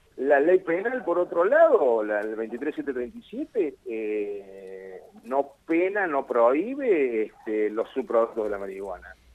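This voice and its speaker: A man talks at a very slow pace with hardly any pauses. His pitch swings very widely. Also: medium pitch for a man. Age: 50s. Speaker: cannabis activist. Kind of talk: radio interview.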